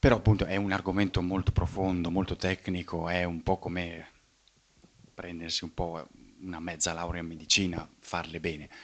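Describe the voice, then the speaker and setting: The speaker is soft-spoken, with a flat monotone at a moderate pace. The background is quiet. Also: man. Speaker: scientist and philosopher of science giving a talk. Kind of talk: public lecture. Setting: evening talk before a live audience. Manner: speaks fairly softly; halting, many fillers and repetitions.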